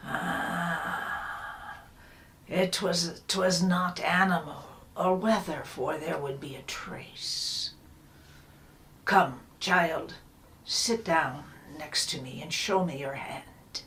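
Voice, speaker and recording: A put-on character voice whispers at a very slow pace. Long, frequent pauses and big swings in loudness mark the delivery. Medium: solo performance. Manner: slow, knowing, old-fashioned speech.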